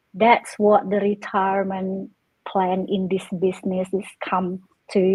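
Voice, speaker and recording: Somewhat breathy female speech at a fairly slow pace, monotone and flat in intonation. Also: medium pitch for a woman. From Indonesia, Jakarta. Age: 50s. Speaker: online business owner. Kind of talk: casual chat. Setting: live stream.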